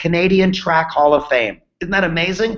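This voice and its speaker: A man talks in an animated tone at a fairly quick pace. His pitch variation is ordinary. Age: 60s. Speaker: business coach. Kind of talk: sales pitch.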